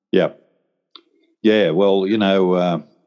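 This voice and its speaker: In an Australian accent, a man talks at a very deep, low pitch with monotone, flat intonation. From Australia, rural New South Wales. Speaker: retired police officer and martial arts teacher. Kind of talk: casual interview.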